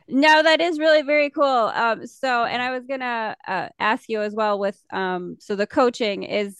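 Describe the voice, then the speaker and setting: A plain, everyday voice from a woman at a moderate pace, in a dry, close sound with no echo. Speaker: podcast host. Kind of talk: casual interview.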